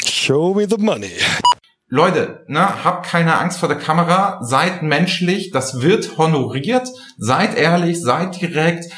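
Music plays in the background as a man speaks at a very slow pace. His pitch is high, with ordinary pitch variation and very even loudness. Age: 50s. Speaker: business intelligence podcast host. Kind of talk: casual chat. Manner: animated.

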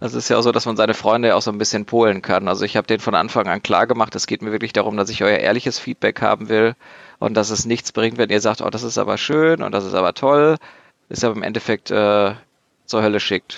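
With a dry, close sound with no echo and a quiet background, a man talks at a very fast pace in a fairly low pitch with fairly even intonation. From Germany, Dortmund (Ruhr area). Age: 20s. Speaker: board game designer. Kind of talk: casual chat.

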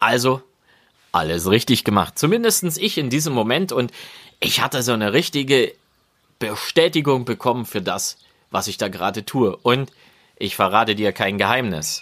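A man's medium-pitched voice at a moderate pace, with lively intonation and long, frequent pauses. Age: 40s. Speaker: podcaster, motivation coach. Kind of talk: solo podcast monologue. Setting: outdoors in a garden. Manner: warm, conversational. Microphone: new podcast recorder.

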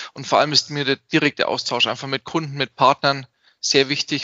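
A man speaks at a fairly quick pace with a fairly high pitch. His intonation is monotone and flat. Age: 30s. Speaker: IT security company owner. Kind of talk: interview.

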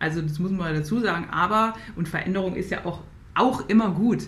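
A woman's voice, with ordinary rises and falls in pitch, carries audible echo from the room. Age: 30s. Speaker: Paralympic athlete and mental coach. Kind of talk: interview conversation. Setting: video call. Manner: halting, many repetitions.

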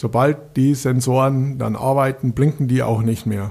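The speaker has a strong Bavarian accent. The pace is fairly slow. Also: man. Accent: Bavarian, still strong. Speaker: municipal street lighting engineer. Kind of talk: casual interview.

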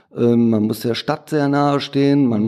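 A man with a slight Ruhr accent, medium in pitch and dark, mellow in tone, at a moderate pace with ordinary pitch variation, on a very clean recording with a silent background. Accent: Ruhrpott dialect, slight. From Ruhr area, Duisburg. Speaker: print shop owner. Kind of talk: interview.

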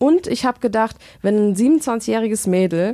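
A woman speaks with a dark, mellow tone, a fairly high pitch and lively intonation. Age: 20s. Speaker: event manager and podcaster. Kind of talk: casual chat.

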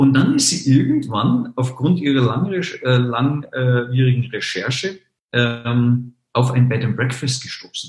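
A man's medium-pitched voice with ordinary pitch variation, at a very slow pace. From Munich, Bavaria. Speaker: online marketing entrepreneur, travel portal founder. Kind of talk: podcast interview.

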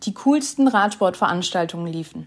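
A woman speaks at a moderate pace in a somewhat breathy voice. The recording is very clean, with a silent background. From Stuttgart region, Swabia, Germany. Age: 20s. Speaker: podcast host. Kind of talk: scripted introduction.

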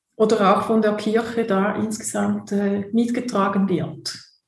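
A woman's fairly high-pitched voice at a very slow pace, with fairly even intonation and audible room echo. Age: 50s. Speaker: theologian and church social worker. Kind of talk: interview. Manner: halting, many fillers and repetitions.

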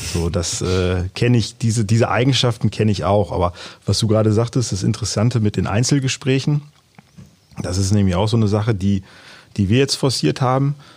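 Somewhat breathy and fairly low in pitch, a man speaks at a fairly quick pace with very even loudness. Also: ordinary pitch variation. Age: 40s. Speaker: amateur youth football coach. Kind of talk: casual interview.

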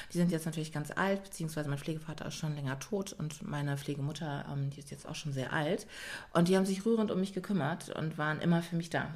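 A woman's very deep, low, somewhat breathy voice at a very fast pace, with ordinary pitch variation. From Germany. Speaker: yoga and pilates trainer. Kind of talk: casual chat.

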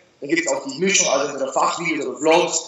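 Room echo is audible. The intonation stays fairly even. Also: man. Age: 20s. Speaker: fitness YouTuber and online entrepreneur. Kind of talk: casual interview.

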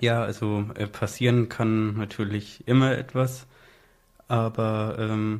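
In a very clean recording with a silent background, a man speaks very slowly at a medium pitch in a flat monotone. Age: 20s. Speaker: blind sheltered-workshop worker. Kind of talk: casual interview. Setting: studio.

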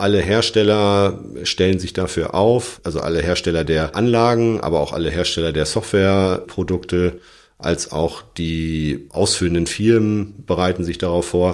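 A man's very deep, low voice, with ordinary pitch variation, comes through on a very clean recording with a silent background. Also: moderate pace. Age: 40s. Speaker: electrical engineer and engineering firm partner. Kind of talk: interview.

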